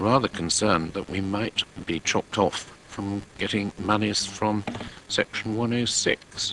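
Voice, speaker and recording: Noticeable background noise surrounds a man speaking at a fairly slow pace with fairly low pitch. His intonation is fairly even, and the sound is dry and close with no echo. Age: 70s. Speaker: local councillor. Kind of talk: council meeting debate. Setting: council committee meeting.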